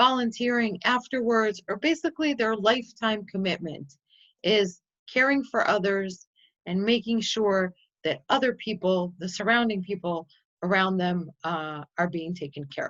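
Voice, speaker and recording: A woman with a Chicago accent, medium pitch and lively intonation at a moderate pace. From US Midwest, Chicago. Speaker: nonprofit representative and tour presenter. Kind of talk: presentation.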